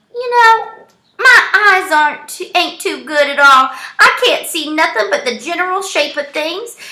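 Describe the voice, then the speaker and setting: A woman puts on a character voice at an extremely high pitch with a warm tone. Her pitch swings very widely at a moderate pace. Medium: read story. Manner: folksy, warm.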